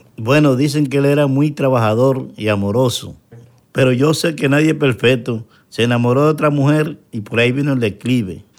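At a moderate pace, a man uses a normal speaking voice with a medium pitch and ordinary pitch variation. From Dominican Republic, Santo Domingo. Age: young. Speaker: interview guest, painter. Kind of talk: personal testimony interview.

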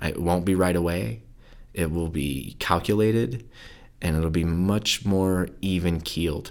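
Speaking with an American accent, a man with a very deep, low voice keeps a fairly slow pace and ordinary pitch variation. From southern California and rural Idaho. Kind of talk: interview. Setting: studio in Idaho Falls. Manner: mellow.

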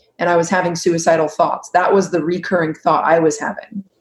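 A woman talks with an American accent. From California. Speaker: anxiety coach. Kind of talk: interview.

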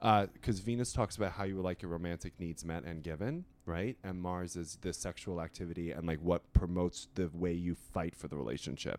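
A man speaks at a fairly quick pace with hardly any pauses. His very deep, low pitch shows ordinary variation. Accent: Long Island. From Long Island, New York. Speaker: astrologer and writer. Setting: hotel room.

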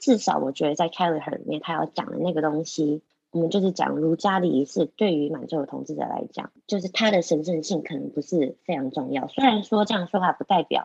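With vocal fry, the speaker talks at a fairly quick pace with ordinary pitch variation. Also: woman. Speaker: podcast co-host. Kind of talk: casual discussion of a scholarly book. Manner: animated.

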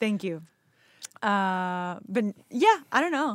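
In a Spanish accent, a woman speaks at a medium pitch with lively intonation. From Venezuela. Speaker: actor. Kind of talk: casual interview chat.

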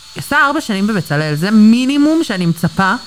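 Very wide pitch swings at a moderate pace, with noticeable background noise. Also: woman. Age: 20s. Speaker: manicure client. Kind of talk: casual chat. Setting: nail salon studio. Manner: halting.

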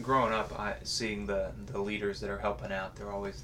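A man with an American accent at a fairly low pitch, very wide pitch swings and a moderate pace, amid noticeable background noise and audible room echo. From Missouri. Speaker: podcast host. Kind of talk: casual chat.

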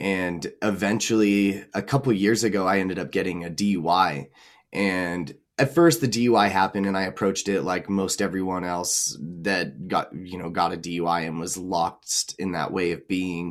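A man with a very deep, low pitch talks at a moderate pace with ordinary pitch variation. The recording is very clean, with a silent background. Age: 20s. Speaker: transformational coach and musician. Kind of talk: casual chat.

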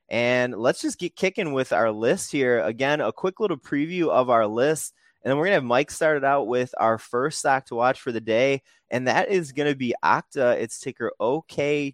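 A man's fairly high voice, animated and enthusiastic, at a moderate pace with hardly any pauses, and a dry, close sound with no echo. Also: ordinary pitch variation, quiet background. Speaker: podcast host. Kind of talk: scripted-style business news podcast, casual chat. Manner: animated, enthusiastic.

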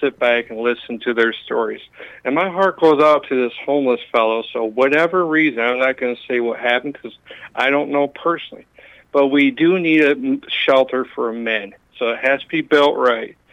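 Here a man with a fairly high pitch, an ordinary speaking voice and ordinary pitch variation talks at a moderate pace. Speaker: caller. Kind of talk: call-in talk. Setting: phone call.

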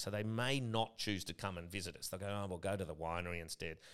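A man with an Australian accent talks at a fairly quick pace in a fairly low voice. The recording is very clean, with a silent background. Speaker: gin distillery co-founder. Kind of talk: casual chat.

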